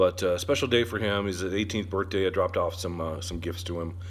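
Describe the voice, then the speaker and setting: A man with a very deep, low pitch speaks at a fairly quick pace, somewhat breathy, with fairly even intonation. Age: 40s. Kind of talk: casual talk to camera. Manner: relaxed, hesitant with many fillers.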